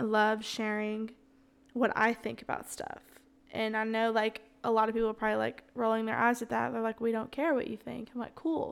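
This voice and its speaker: With a Southern US accent, a woman talks at a fairly quick pace. Her pitch is fairly high and her intonation fairly even. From US South, Alabama. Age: 20s. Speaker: podcast host, church ministry worker. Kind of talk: casual chat, solo Q&A. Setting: home kitchen recording. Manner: casual, unscripted, conversational.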